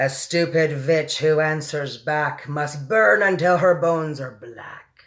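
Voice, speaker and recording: Putting on a character voice, a man speaks at a fairly slow pace with hardly any pauses. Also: fairly high pitch for a man. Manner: screaming; menacing.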